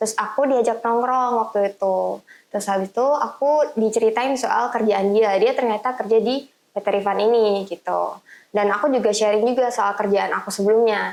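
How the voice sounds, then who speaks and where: This woman has a normal speaking voice, pitched fairly high, delivered at a moderate pace with fairly even intonation and big swings in loudness. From East Java, Indonesia (Tuban). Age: 20s. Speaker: business consultant. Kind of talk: podcast interview.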